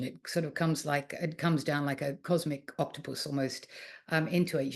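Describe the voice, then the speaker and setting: A woman with an Australian accent and a fairly low pitch, against a quiet background. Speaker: art historian and author. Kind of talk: lecture. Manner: hesitant with frequent fillers.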